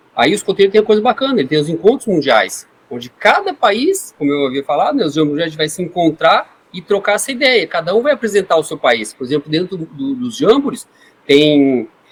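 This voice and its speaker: A man's high voice at a fairly quick pace, with very wide pitch swings and noticeable background noise. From Brazil, Foz do Iguaçu (Paraná). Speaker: scouting leader. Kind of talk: podcast interview.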